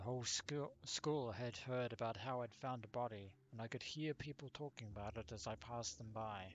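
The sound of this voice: Ordinary pitch variation marks this unforced reading voice.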